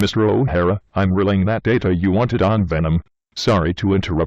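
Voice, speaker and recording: In a cartoonish character voice, a man speaks at a fairly quick pace with a very deep, low pitch. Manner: polite, formal.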